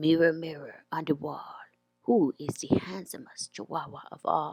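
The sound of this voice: Pitched in the middle range, this put-on character voice moves at a moderate pace.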